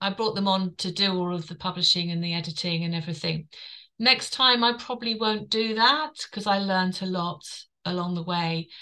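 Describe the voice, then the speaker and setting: A woman speaks with a London accent and a bright, sharp tone. Her pitch is medium and her pace fairly quick. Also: ordinary pitch variation. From London, England. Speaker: author and wellbeing coach. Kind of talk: interview.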